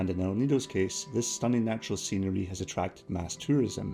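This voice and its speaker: Over music in the background, someone with a Scottish accent talks at a fairly quick pace with lively intonation. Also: man. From Scotland. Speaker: travel vlogger. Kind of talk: travel documentary narration.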